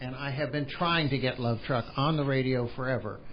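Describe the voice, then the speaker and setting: Audible room echo surrounds a man with an American accent speaking at a moderate pace. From northeast Texas, Marshall. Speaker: radio host. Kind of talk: radio interview. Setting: radio studio. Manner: halting, many fillers.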